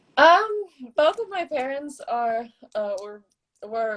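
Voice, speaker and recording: A woman with an American accent, very slow pace and fairly even intonation. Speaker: middle-distance runner. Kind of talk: casual interview chat. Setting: Instagram live video.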